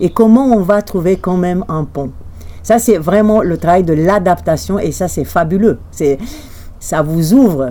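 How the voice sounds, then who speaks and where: A woman with a Romanian accent speaks at a fairly low pitch, her intonation lively. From Romania, Bucharest. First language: Romanian (speaking French). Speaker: journalist. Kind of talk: interview.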